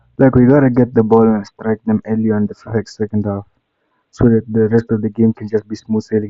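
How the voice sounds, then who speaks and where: Speaking quietly and fairly quickly, a man keeps a medium pitch and a monotone, flat intonation. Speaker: football fan streamer. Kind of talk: live watchalong commentary. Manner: casual slangy; kinda quiet.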